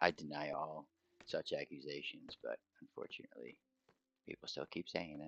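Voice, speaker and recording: Mumbling at a moderate pace, the speaker leaves long, frequent pauses. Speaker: gaming streamer. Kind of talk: live gameplay stream. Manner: casual, thinking aloud.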